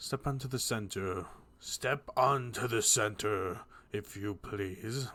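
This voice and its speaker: The voice is a put-on character voice with a raspy quality. It moves at a fairly slow pace. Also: man, medium pitch for a man. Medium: read story. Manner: proud, formal.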